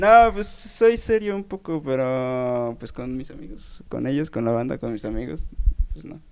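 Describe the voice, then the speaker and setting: Using very wide pitch swings and big swings in loudness, a man with a fairly high pitch talks at a fairly slow pace. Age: 20s. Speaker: bass player. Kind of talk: casual interview chat. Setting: radio studio.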